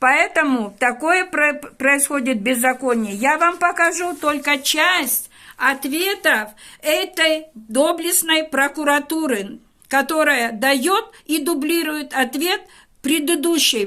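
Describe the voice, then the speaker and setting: A woman projects her high-pitched voice with a bright, sharp tone, speaking at a very slow pace with very even loudness. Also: lively intonation. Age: 70s. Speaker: teacher making a public appeal. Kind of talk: public video appeal to an official. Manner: formal; earnest, pleading.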